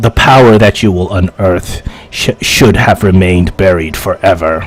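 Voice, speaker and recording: A man puts on a character voice with a very deep, low pitch. He talks at a moderate pace over faint music in the background. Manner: ominous, grave.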